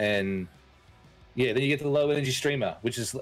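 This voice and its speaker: Someone with an Australian accent talks at a fairly quick pace with ordinary pitch variation, music playing in the background. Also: man. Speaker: streamer, podcast host. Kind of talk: casual chat. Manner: animated, with frequent fillers and repeats.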